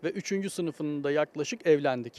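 Speaking at a moderate pace, a man uses an ordinary speaking voice, fairly high in pitch with ordinary pitch variation. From Osmaniye, Turkey. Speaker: economics professor. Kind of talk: interview, casual chat.

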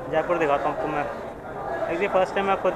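This man keeps a moderate pace despite loud background noise. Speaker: travel vlogger. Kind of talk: casual vlog chat. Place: station. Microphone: phone near.

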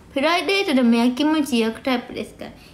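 Over audible room echo, a woman speaks in a high pitch with an animated tone and lively intonation. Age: 40s. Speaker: live streamer. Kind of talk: casual livestream chat with viewers. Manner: animated, frequent laughter. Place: home room. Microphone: phone near.

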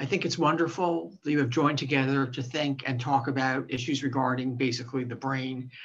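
This woman's pitch is very deep and low. She talks at a very fast pace. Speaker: guest, professor. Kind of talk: lecture. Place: home room. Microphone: video call.

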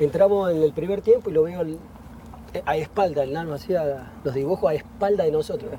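A man speaks at a fairly quick pace with a dark, mellow tone, a fairly high pitch and ordinary pitch variation. The sound is dry with no echo, under light background noise. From Argentina. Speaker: retired footballer; guest. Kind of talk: casual chat. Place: garden. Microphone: lapel.

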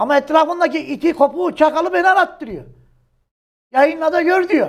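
A man with an extremely high pitch and an animated tone, at a moderate pace. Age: 60s. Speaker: journalist. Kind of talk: heated political commentary.

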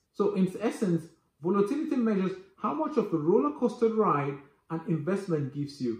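A man's voice, high in pitch, with audible room echo. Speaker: finance educator. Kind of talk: tutorial. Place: home room.

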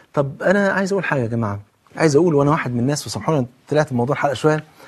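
A man talks in a fairly high, somewhat breathy voice with ordinary pitch variation. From Egypt. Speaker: Islamic preacher and TV host; religious preacher on TV. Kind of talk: televised religious talk. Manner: animated. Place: studio. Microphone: lapel.

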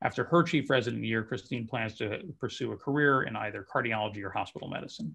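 A man with a very fast pace, hardly any pauses, a bright, sharp tone, vocal fry and ordinary pitch variation, over a quiet background. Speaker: residency program director. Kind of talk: formal announcement. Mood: upbeat, celebratory. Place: home room. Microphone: video call.

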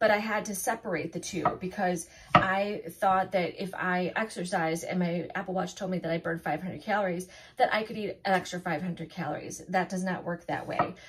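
Moderately paced female speech in a plain, everyday voice, medium in pitch, with fairly even intonation. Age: 50s. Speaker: food and weight-loss vlogger. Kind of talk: casual vlog talk to camera. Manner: casual with many fillers.

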